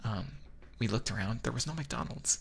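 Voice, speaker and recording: The speaker is a man. His voice has vocal fry. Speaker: vtuber. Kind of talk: ASMR boyfriend roleplay.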